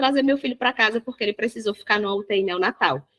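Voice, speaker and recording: Her tone is bright and sharp, in a northeastern Brazilian accent. The woman's pitch varies in an ordinary way, and the sound is dry and close with no echo. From Northeast Brazil. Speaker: holistic therapist and parenting educator. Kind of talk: podcast interview. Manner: spontaneous.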